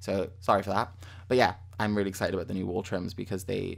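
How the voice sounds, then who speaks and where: Speaking with a British accent at a fairly quick pace, a man talks in a fairly low pitch. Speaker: gaming YouTuber. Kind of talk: gameplay commentary. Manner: fast; rambling, self-correcting.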